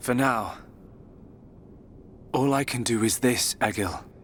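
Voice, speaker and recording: A man puts on a character voice. He goes at a fairly slow pace over clear background noise. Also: medium pitch for a man. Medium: video game. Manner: gentle, calm.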